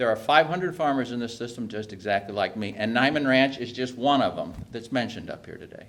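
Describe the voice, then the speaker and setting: In a plain, everyday voice, a man talks at a medium pitch and shows ordinary pitch variation. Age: 60s. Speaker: hog farmer. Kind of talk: speech at a policy briefing.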